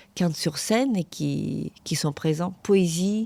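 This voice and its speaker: In a very clean recording with a silent background and a dry, close sound with no echo, a woman with a fairly low, dark, mellow voice speaks at a very slow pace with ordinary pitch variation. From Ukraine. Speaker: podcast host, academic and journalist. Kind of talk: interview.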